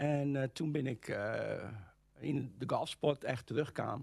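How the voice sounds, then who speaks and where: A man speaks with a fairly high pitch, vocal fry and fairly even intonation. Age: 60s. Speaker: golf instructor. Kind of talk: interview. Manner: halting, many hesitations.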